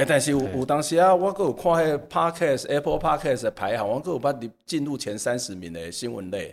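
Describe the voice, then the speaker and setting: At a fairly quick pace with hardly any pauses, a man uses a fairly high pitch, very wide pitch swings and vocal fry. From Taiwan, Kaohsiung. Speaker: communication professor. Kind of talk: casual interview.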